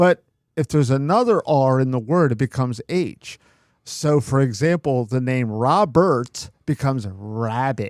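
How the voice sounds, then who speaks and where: A man at a medium pitch with a Philadelphia accent, fairly slow pace and ordinary pitch variation, in a very clean, dry, close recording with no echo and a silent background. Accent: Philadelphia-area. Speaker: podcast host. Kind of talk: casual chat.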